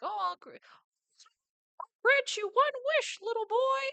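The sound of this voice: This put-on character voice is squeaky and extremely high in pitch. It unfolds at a fairly slow pace.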